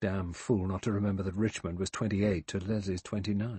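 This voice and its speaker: With a British accent, a man speaks at a moderate pace in a theatrical tone, somewhat breathy, his intonation fairly even. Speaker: audiobook narrator. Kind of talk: dramatic audiobook narration of a mystery novel, reading aloud with character voices. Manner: measured, suspenseful, theatrical pacing; shifts tone to voice each character.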